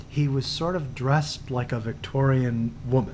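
Somewhat breathy, a man speaks at a fairly slow pace with a medium pitch. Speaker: podcast co-host. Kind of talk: casual chat.

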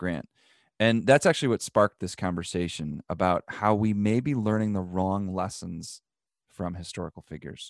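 Speaking in a normal speaking voice over a quiet background, a man with a fairly low pitch and ordinary pitch variation talks at a moderate pace, the sound dry and close with no echo. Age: 30s. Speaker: podcast host. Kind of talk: scripted intro; casual interview.

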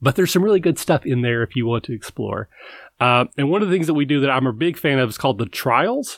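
At a very fast pace, a man with a Kentucky accent speaks with lively intonation in a dry, close sound with no echo, on a very clean recording with a silent background. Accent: Kentucky Southern American. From US South, Kentucky. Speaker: tabletop RPG podcaster. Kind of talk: casual interview chat. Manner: halting, with repeated words.

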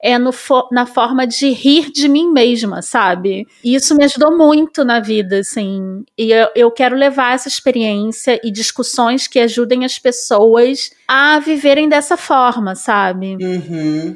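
A high-pitched woman with a Rio de Janeiro accent, fairly slow and with hardly any pauses. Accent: Rio (carioca). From Brazil, Rio de Janeiro suburbs. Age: 40s. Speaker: podcast co-host. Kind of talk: casual chat.

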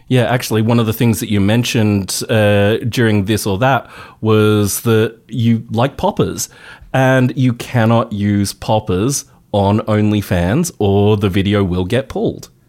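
A man with an Australian accent speaks slowly-ish, fairly low in pitch, with fairly even intonation and very even loudness. The recording is very clean, with a silent background. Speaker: radio host. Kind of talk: radio interview. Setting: radio studio.

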